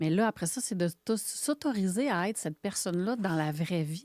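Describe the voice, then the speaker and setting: Heard in a dry, close sound with no echo on a very clean recording with a silent background, a woman with an unremarkable speaking voice talks at a moderate pace and medium pitch. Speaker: photographer and coach. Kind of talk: interview podcast conversation.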